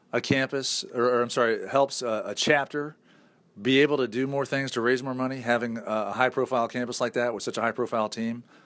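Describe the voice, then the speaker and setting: On a very clean recording with a silent background, a man with a northern US accent speaks fairly quickly at a medium pitch. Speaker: radio talk show host. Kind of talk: interview. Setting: stage with audience. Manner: animated.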